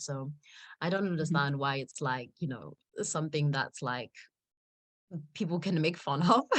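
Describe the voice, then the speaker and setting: A woman's very deep, low voice at a moderate pace. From South Africa. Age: 20s. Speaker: model. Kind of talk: interview answer. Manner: casual, many fillers.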